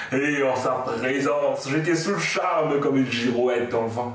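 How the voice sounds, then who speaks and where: The pace is fairly slow. Audible room echo is present. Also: man. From Mauritius. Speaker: slam poet. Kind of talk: poetry slam performance. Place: home room. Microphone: camera far.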